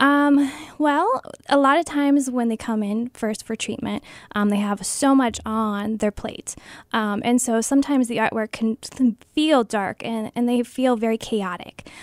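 A woman's fairly high voice in a Midwestern American accent, at a fairly slow pace with ordinary pitch variation, dry with no echo, against a quiet background. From Ohio, Stark County; Ohio. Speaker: art therapist. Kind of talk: radio interview. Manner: hesitant, many ums. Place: studio.

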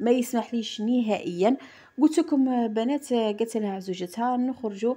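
This is a woman's voice. Her tone is dark and mellow. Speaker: lifestyle vlogger. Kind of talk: casual vlog monologue.

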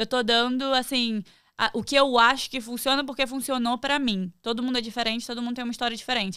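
A woman speaks at a fairly quick pace in a high pitch, her tone bright and sharp against a quiet background. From Rio de Janeiro state, Brazil. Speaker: professional wrestler; podcast guest. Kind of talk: casual chat. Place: studio. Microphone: studio mic.

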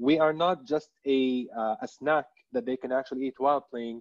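The background is quiet as a man talks at a fairly quick pace. His pitch varies in an ordinary way. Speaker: telecom brand communications director; panelist. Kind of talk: webinar panel discussion. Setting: online webinar. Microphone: video call.

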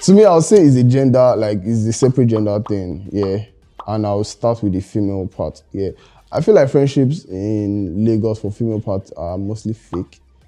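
The man speaks at a moderate pace in a fairly low pitch. Faint music plays in the background. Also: ordinary pitch variation. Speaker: interview guest. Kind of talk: interview answer. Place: studio.

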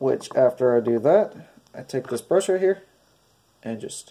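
A man speaks slowly at a medium pitch, his nasal voice dark and mellow in tone with lively intonation.

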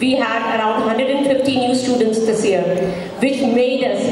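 A woman's fairly high voice carries audible room echo along with clear background noise.

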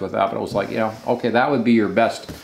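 A man's voice with vocal fry and audible room echo

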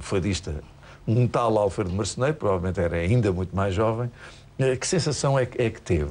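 This man has a dark, mellow tone and a fairly low pitch. His intonation is lively and his pace is moderate. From Portugal. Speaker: TV presenter. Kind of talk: TV interview. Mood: warm, courteous. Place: studio. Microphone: lapel.

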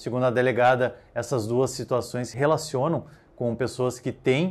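The pace is moderate as a man talks. His pitch stays fairly even. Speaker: police news reporter. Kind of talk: newsreading. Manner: formal, measured, neutral tone. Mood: neutral, serious. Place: studio. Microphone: lapel.

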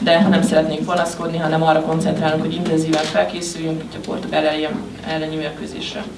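The speech comes at a very fast pace over noticeable background noise. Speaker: interpreter translating the coach into Hungarian. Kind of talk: consecutive interpreting at a press conference. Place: meeting room. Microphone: podium.

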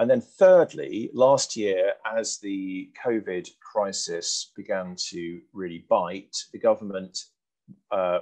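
Over a quiet background, a man with a British accent talks with big swings in loudness. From UK. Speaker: press policy organization founder. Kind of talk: lecture with slides then panel Q&A. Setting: video call. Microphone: headset.

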